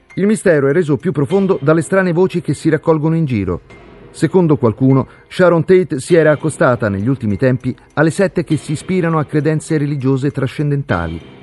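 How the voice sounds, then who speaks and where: Speech at a very fast pace with ordinary pitch variation, recorded dry and close with no echo, over music in the background. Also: man, fairly high pitch for a man. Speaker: true-crime narrator. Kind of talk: true-crime narration. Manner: suspenseful, grave; measured, dramatic.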